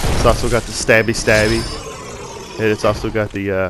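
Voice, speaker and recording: A man talks in a Southern US accent with a relaxed tone at a moderate pace. Noticeable background noise runs underneath. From US South. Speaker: gaming commentator. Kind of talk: gameplay commentary. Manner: casual, relaxed.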